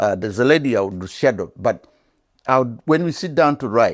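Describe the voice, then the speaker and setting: With an African accent, a man speaks at a moderate pace with lively intonation on a very clean recording over a silent background. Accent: non-British African. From Uganda. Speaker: veteran journalist. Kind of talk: interview. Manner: halting.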